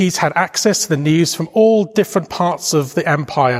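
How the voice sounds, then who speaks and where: In a Welsh accent, a man speaks with lively intonation. His pace is moderate. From Wales. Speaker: preacher. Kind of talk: sermon. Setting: church.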